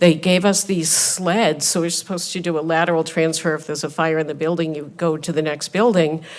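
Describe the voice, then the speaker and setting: Amid noticeable background noise, a woman with a fairly low pitch speaks fairly quickly in a flat monotone, with hardly any pauses. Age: 60s. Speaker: hospital nurse. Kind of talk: congressional hearing testimony. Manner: impassioned.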